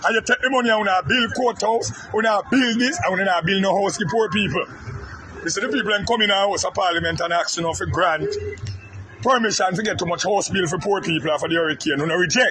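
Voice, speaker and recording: Over noticeable background noise, a man with a Jamaican accent talks at a very fast pace in a high, raised, projected voice with ordinary pitch variation. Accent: Jamaican Patois. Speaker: political commentator. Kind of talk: angry rant. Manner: loud.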